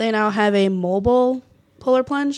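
The speaker is a woman with a Minnesota accent. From northern Minnesota, near Duluth. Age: 20s. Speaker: college softball player. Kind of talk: interview.

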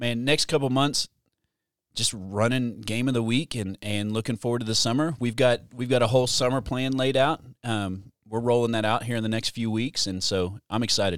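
Heard in a very clean recording with a silent background and a dry, close sound with no echo, a man with an ordinary speaking voice talks at a moderate pace and medium pitch with fairly even intonation. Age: 40s. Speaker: student pastor. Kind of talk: casual chat. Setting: studio.

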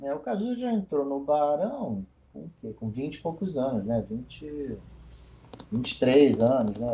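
At a fairly slow pace, a man with a plain, everyday voice speaks at medium pitch with lively intonation and big swings in loudness. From Rio de Janeiro, Brazil. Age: 50s. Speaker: musician. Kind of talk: interview.

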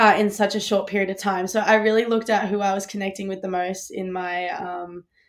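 In a very clean recording with a silent background, a woman with an Australian accent speaks at a fairly quick pace with monotone, flat intonation. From Australia (Melbourne). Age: 20s. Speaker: college distance runner. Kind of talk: interview. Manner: casual, filler-heavy.

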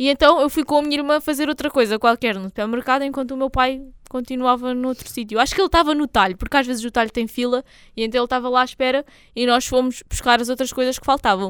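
Her pitch is high and her intonation fairly even as this woman talks at a very fast pace. The sound is dry and close, with no echo. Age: 20s. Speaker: podcast co-host. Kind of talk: casual chat.

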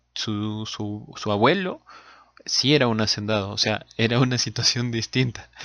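A man with an ordinary speaking voice keeps a medium pitch and fairly even intonation as he talks. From Peru. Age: 30s. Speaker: podcast co-host. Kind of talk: casual chat.

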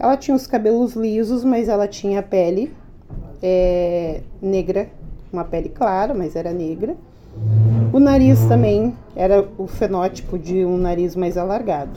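Her medium-pitched voice swings very widely in pitch, at a fairly slow pace. The woman leaves long, frequent pauses, and noticeable background noise is present. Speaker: teacher and education adviser. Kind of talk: interview. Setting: podcast recording.

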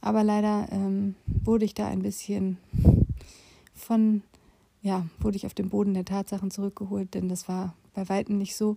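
Using a dark, mellow tone, a woman with a medium pitch speaks at a moderate pace in a monotone, flat intonation, with long, frequent pauses. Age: 40s. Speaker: podcast host, former nurse and patient advocate. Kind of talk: personal monologue. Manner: casual, with frequent fillers.

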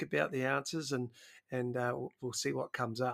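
On a very clean recording with a silent background, a man with a New Zealand accent speaks at a moderate pace and a fairly high pitch. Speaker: podcast host, PE teacher. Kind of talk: casual interview. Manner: halting, repeats words.

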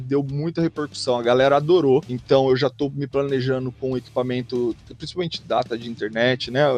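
A man at medium pitch, moderate pace, and fairly even intonation, with hardly any pauses and music in the background. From Brazil, Bauru, interior of São Paulo state. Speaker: streamer living abroad. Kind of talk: casual chat.

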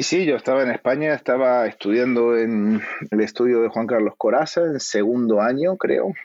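An ordinary speaking voice from a man, medium in pitch with ordinary pitch variation, a moderate pace and very even loudness. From Argentina. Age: 40s. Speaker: actor. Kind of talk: casual interview chat.

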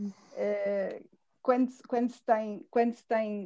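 This woman speaks at a very slow pace, somewhat breathy, in a dark, mellow tone. Her pitch is fairly high and her intonation fairly even. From central Portugal, near Fátima. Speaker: teacher. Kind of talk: casual chat.

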